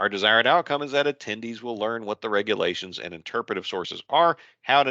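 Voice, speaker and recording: A man speaks at a very fast pace with a fairly low pitch and a bright, sharp tone. The sound is dry with no echo, over a quiet background. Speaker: contracting instructor. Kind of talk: lecture. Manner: casual. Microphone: video call.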